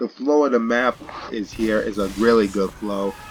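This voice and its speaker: Over noticeable background noise, a man speaks fairly slowly. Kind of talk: video game commentary. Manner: hesitant, filler words.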